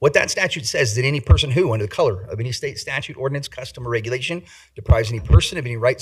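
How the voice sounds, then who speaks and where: A man speaks very fast at a medium pitch in a somewhat breathy voice. His loudness swings a lot, while his pitch varies in an ordinary way. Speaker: civil rights litigator. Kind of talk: public comment at council meeting.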